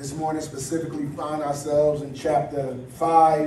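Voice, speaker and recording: Over light background noise, a man speaks with audible room echo. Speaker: pastor. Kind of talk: prayer then sermon. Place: church.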